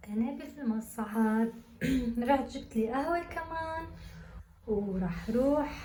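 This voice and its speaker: Very slow and high-pitched, a woman talks amid audible room echo and noticeable background noise. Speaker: student vlogger. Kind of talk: vlog. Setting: university building. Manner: soft-spoken, speaking quietly.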